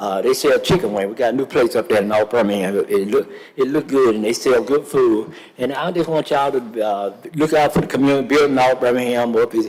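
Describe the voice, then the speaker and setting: A man speaks at a fairly quick pace in a medium-pitched voice with ordinary pitch variation, and there is noticeable background noise. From US South. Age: 70s. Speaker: public commenter at council meeting. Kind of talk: public comment. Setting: city council chamber. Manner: halting, many fillers.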